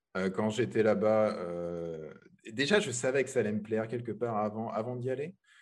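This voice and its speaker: A man's fairly low voice at a moderate pace, with ordinary pitch variation and a quiet background. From France. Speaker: web developer. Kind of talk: interview. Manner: halting, many repetitions.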